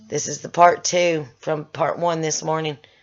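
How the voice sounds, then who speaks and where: Her pitch is very deep and low for a woman. She speaks at a moderate pace. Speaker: chronic illness vlogger. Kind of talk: emotional vlog rant. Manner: halting, emotional.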